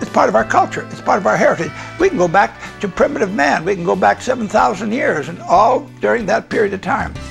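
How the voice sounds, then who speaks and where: A man talking at a very fast pace over faint background music. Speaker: winemaker. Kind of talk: interview answer. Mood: warm, relaxed. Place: home room. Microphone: lapel.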